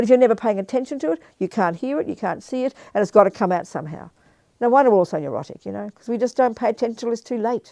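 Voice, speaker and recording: A woman with an Australian accent talks at a very fast pace, using a fairly high pitch, a dark, mellow tone, lively intonation and vocal fry. The sound is dry and close with no echo, over a quiet background. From Australia (Melbourne). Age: 70s. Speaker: Buddhist nun and teacher. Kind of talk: dharma talk with Q&A. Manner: animated.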